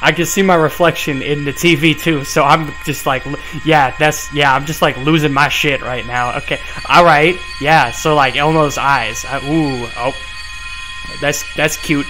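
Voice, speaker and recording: Clear music sounds behind a man whose intonation stays fairly even. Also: moderate pace. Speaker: video reactor. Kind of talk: casual reaction commentary. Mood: nervous, laughing, spooked. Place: home room. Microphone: headset.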